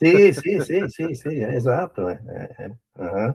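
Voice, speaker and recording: A man speaks. His pace is very slow. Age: 70s. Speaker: professor. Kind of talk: casual discussion.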